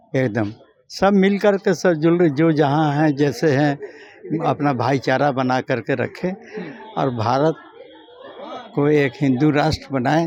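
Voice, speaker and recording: The speaker leaves long, frequent pauses and uses ordinary pitch variation. Background noise is noticeable throughout. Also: man. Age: old. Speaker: elderly local devotee. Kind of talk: street interview.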